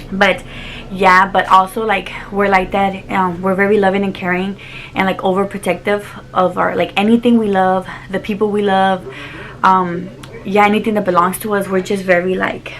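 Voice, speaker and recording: There is noticeable background noise in this recording. A woman speaks at a moderate pace with a medium pitch. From Texas (Dallas), Mexican-American family. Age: 20s. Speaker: YouTuber. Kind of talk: casual chat. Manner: animated.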